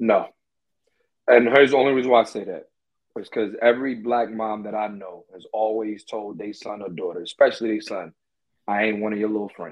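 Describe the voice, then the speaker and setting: This man has an ordinary speaking voice, fairly low in pitch, moving at a fairly quick pace with fairly even intonation and big swings in loudness. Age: 30s. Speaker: comedian. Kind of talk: casual chat.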